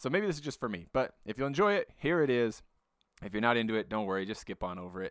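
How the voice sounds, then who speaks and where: On a very clean recording with a silent background, the voice moves through very wide pitch swings. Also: man, medium pitch for a man. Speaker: podcast host. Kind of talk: casual podcast intro. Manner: informal, hesitant.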